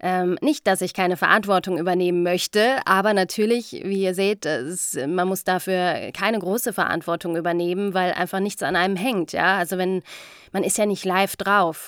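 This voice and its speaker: Her voice sits at a medium pitch. The woman keeps her intonation fairly even. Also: very clean recording, silent background. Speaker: voice-over artist and podcast host. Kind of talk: casual monologue storytelling.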